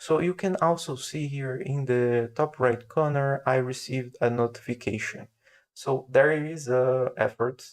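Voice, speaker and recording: This man has a medium-pitched voice, a non-native accent and fairly even intonation. He speaks at a fairly slow pace against a quiet background. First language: not English. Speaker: software developer. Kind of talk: tutorial. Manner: slow and steady; halting, many fillers.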